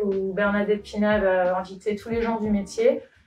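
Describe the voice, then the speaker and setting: A woman talks at an even, middling tempo while background noise is clearly audible. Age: 30s. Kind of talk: interview. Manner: hesitant, many filler sounds.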